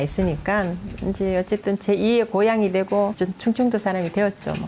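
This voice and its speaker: A woman speaks with a Daegu accent. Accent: Gyeongsang (Daegu) dialect. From South Korea, Daegu. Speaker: potter. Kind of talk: interview.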